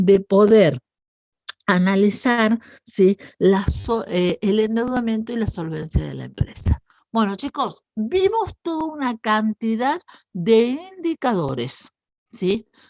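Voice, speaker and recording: Speaking at a very slow pace, a woman uses a fairly high pitch with very wide pitch swings, and the sound is dry and close with no echo. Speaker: university lecturer. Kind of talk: lecture.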